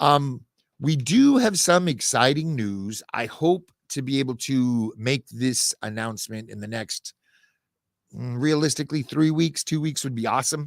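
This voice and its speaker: A man's ordinary speaking voice at a medium pitch, fairly slow, with ordinary pitch variation, dry and close with no echo in a very clean recording with a silent background. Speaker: podcast network founder and host. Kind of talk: weekly update monologue. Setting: podcast studio.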